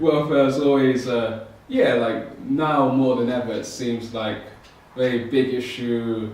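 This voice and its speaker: The intonation stays fairly even, with noticeable background noise and audible room echo around the voice. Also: man. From UK. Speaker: podcast co-host. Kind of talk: casual discussion.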